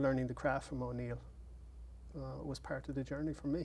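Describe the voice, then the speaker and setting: An Irish accent marks this man's voice, which moves at a fairly quick pace. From Ireland. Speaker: playwright. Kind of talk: interview. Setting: studio.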